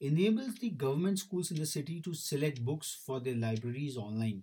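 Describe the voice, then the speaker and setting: Somewhat breathy and dark, with a mellow tone, a man talks at a fairly quick pace. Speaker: news bulletin presenter. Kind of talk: news bulletin read aloud, steady reading of headlines to educators and students. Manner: formal, measured newsreader pace, with occasional filler hesitations.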